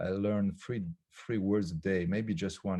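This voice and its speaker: With a French accent, a man talks at a moderate pace in a fairly low pitch, showing ordinary pitch variation. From France. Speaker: philosopher and author. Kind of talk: casual chat. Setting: video call. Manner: halting, many fillers.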